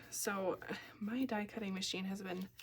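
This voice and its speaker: Speaking with a Minnesota accent, a woman keeps a medium pitch and a fairly slow pace. Her voice is somewhat breathy. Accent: Upper Midwest (Minnesota) American. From Minnesota, US. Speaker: card-making crafter, kindergarten teacher. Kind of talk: crafting tutorial. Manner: casual, chatty.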